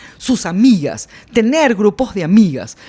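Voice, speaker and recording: A woman with an ordinary speaking voice talks at a moderate pace. Her intonation is lively. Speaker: blogger and public speaking teacher. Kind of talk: casual podcast conversation.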